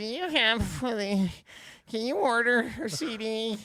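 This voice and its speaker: The voice is a put-on character voice, fairly high in pitch. It proceeds at a fairly slow pace. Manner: odd, peculiar.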